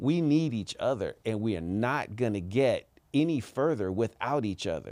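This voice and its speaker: Recorded very cleanly against a silent background, a man with an unremarkable speaking voice talks at medium pitch and a moderate pace with lively intonation. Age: 50s. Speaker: mental health advocate. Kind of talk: casual chat.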